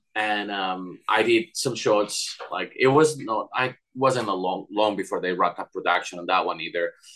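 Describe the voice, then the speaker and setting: With a Spanish accent, a man talks with hardly any pauses. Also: moderate pace. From Spain. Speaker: animator. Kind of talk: interview.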